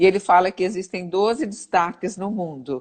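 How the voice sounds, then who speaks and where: Her voice sits at a medium pitch. The woman's pitch moves in an ordinary way. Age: 60s. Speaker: physiotherapist. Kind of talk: interview. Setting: livestream. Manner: halting.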